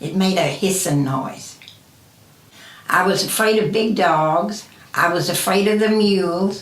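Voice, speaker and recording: A woman with an American accent speaks at medium pitch and a fairly slow pace, with ordinary pitch variation and long, frequent pauses. Noticeable background noise and audible room echo fill the recording. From Kentucky, Ohio County. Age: 80s+. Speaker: interviewee. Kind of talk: interview answers. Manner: halting.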